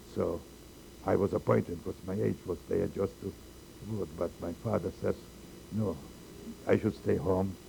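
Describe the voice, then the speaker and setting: Speaking at a moderate pace with long, frequent pauses, a man uses a very deep, low pitch, a dark, mellow tone and vocal fry, with ordinary pitch variation. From Poland. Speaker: holocaust survivor. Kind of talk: oral history interview. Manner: halting.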